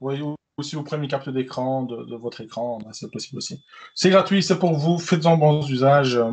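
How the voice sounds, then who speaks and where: A man talks at a fairly quick pace with a fairly high pitch and ordinary pitch variation against a quiet background. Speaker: tech presenter. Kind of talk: online tech webinar demo. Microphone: slight echo.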